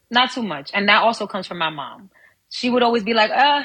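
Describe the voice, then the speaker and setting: A woman with a New York accent speaks at a fairly quick pace, her fairly high voice bright and sharp in tone. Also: big swings in loudness. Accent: New York accent, Dominican heritage. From New York, Harlem. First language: Spanish. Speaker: actress and model. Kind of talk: podcast interview.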